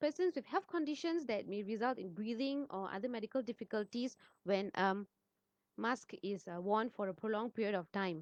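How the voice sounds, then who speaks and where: With lively intonation, a woman talks at a fairly high pitch in a dry, close sound with no echo. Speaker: pharmacist. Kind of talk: informational talk. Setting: livestream on social media. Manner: soft-spoken. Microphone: too quiet, then adjusted.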